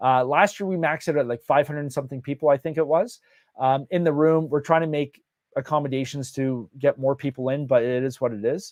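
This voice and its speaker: A man's fairly high voice with a Canadian accent, ordinary pitch variation and a fairly quick pace, in a dry, close sound with no echo. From Canada. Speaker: real estate event host. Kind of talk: live Q&A on virtual launch event. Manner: many fillers and hesitations.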